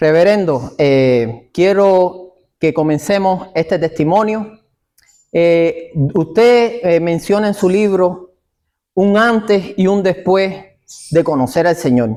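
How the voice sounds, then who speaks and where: Speaking very slowly, a man with a high pitch and a dark, mellow tone keeps his loudness very even. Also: ordinary pitch variation. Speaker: evangelistic ministry interviewer. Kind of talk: interview. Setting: church.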